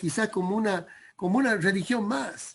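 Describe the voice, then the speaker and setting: A man's voice shows ordinary pitch variation, with a quiet background behind it. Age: 60s. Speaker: preacher. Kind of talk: sermon. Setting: video call. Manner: halting.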